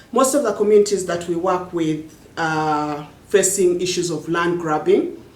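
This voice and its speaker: With noticeable background noise and audible room echo, a woman speaks at a moderate pace in a fairly low pitch with ordinary pitch variation. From Uganda, Luo-speaking village. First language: Jopadhola (Luo language). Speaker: poet and social activist. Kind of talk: interview monologue. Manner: halting, frequent repetitions.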